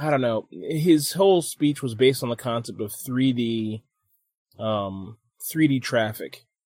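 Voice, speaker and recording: Very slowly, a man speaks in a medium-pitched voice with ordinary pitch variation. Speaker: podcast host. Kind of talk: casual banter podcast. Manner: joking, laid-back.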